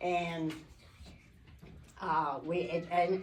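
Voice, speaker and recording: A woman's fairly low-pitched voice, with audible room echo. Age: 80s+. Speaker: church speaker. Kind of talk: testimony. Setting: church Mother's Day brunch with audience. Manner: halting.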